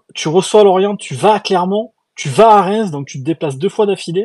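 A man talks in an animated tone at a high pitch, his intonation lively. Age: 30s. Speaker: podcast host. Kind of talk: casual chat.

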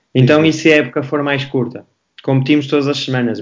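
A man with a plain, everyday voice talks at a fairly quick pace and a medium pitch, with fairly even intonation. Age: 30s. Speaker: basketball coach. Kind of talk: panel discussion.

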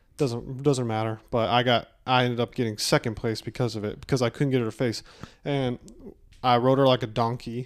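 A man talks at a fairly quick pace in a monotone, flat intonation. The recording is very clean, with a silent background. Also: medium pitch for a man. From Kentucky. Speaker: firefighter and rodeo competitor. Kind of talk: casual chat.

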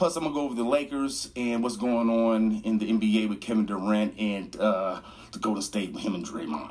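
Noticeable background noise behind a medium-pitched male voice. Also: ordinary pitch variation. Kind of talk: radio DJ patter, station ID and teasing upcoming segments. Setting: radio studio. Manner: upbeat, fast, energetic hype-man delivery.

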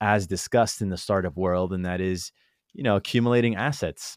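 An unremarkable speaking voice: a man with a fairly low pitch and ordinary pitch variation at a fairly quick pace, the sound dry and close with no echo, on a very clean recording with a silent background. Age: 20s. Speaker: entrepreneur and investor. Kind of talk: casual chat.

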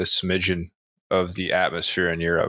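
A man talks at a fairly quick pace in a very deep, low voice. His intonation stays monotone and flat. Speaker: podcast host. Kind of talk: casual chat.

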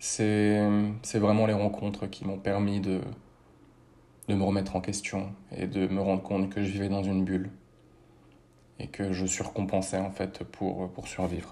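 A man speaks at a fairly slow pace in a fairly low, dark, mellow voice, his intonation monotone and flat. Long, frequent pauses break up his speech, and room echo is audible. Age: 30s. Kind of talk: personal testimony. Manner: measured, with frequent hesitations.

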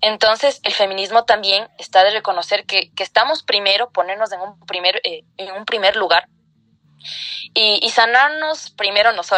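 A woman speaks in a normal speaking voice at a moderate pace, with ordinary pitch variation. The sound is dry and close, with no echo. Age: 20s. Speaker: lawyer and feminist activist. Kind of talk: interview.

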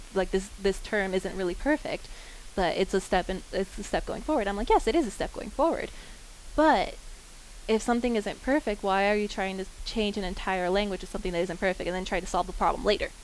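Speaking at a fairly quick pace, a woman with an American accent has an unremarkable speaking voice, medium pitch and ordinary pitch variation. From Kansas, Wichita. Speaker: college student. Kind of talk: group discussion.

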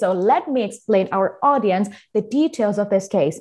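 Speaking fairly slowly, a woman with a Thai accent uses lively intonation at a medium pitch. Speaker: podcast host. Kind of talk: casual chat. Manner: animated.

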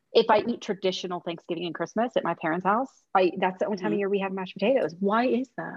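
Talking in an American accent, a woman goes at a very fast pace with hardly any pauses. Her pitch is medium, with ordinary pitch variation. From US Midwest. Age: 30s. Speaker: romance author. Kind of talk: casual chat.

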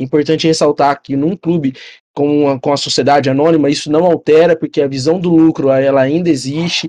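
Fairly quick, monotone, flat speech from a man with a fairly high pitch and a dark, mellow tone, the sound dry and close with no echo. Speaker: football podcast co-host. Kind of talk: casual chat.

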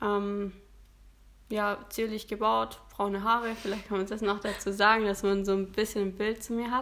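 Her medium-pitched voice stays monotone and flat as this woman talks at a moderate pace. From Stuttgart area, Germany. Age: 20s. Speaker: amateur bodybuilding competitor. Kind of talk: casual interview. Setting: in person, same room as host.

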